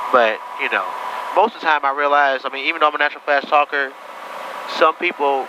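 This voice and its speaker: A man at a fairly high pitch, very fast pace and fairly even intonation, with noticeable background noise. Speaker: private pilot vlogger. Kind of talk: casual vlog commentary with radio calls. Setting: small airplane cockpit.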